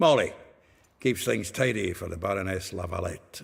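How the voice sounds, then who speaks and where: A man uses a raspy, put-on character voice at a fairly low pitch and a moderate pace. The recording is very clean, with a silent background. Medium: video game. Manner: chuckling, gossipy, jovial.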